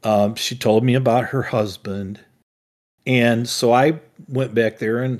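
Here is a man with a plain, everyday voice. His pitch is medium and varies in an ordinary way. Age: 60s. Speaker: podcast co-host, father. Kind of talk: casual chat.

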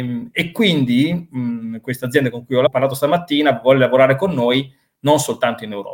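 A man speaks in a normal speaking voice at a medium pitch and a fairly quick pace. His loudness swings widely while his pitch varies in an ordinary way. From Italy, Reggio Emilia (Emilia-Romagna). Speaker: business consultant. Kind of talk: interview.

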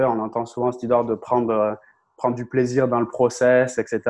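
At a moderate pace, the speaker keeps a fairly even intonation against a quiet background. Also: man. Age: 30s. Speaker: content creator and communication coach. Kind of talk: interview.

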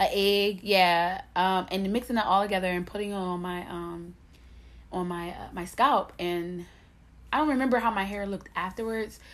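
With an American accent and an unremarkable speaking voice, a woman of medium pitch talks at a moderate pace with ordinary pitch variation. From Camden, New Jersey, US. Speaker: podcast co-host. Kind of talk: casual chat.

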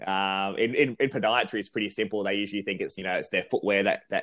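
A man talks very fast with an Australian accent, his pitch fairly low. The recording is very clean, with a silent background. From South Australia (country town). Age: 30s. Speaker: running researcher and lecturer. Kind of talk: casual interview.

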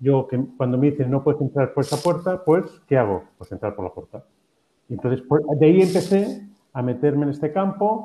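The voice has a dark, mellow tone and sounds somewhat breathy. It moves at a moderate pace with lively intonation. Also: man, fairly high pitch for a man. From Spain. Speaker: professor and happiness researcher. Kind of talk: interview.

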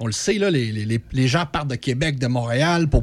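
At a moderate pace, a somewhat breathy man speaks with ordinary pitch variation. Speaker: regional youth program worker. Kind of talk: radio interview.

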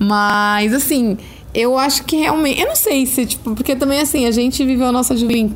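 The speaker goes at a moderate pace with ordinary pitch variation, and there is noticeable background noise. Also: woman. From rural Brazil (interior, caipira). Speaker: podcast host. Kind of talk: casual chat. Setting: at home, sitting on a bed. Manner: animated; shrill at times.

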